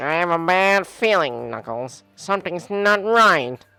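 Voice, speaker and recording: Fairly slow, middle-pitched delivery in a put-on character voice. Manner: worried, anxious.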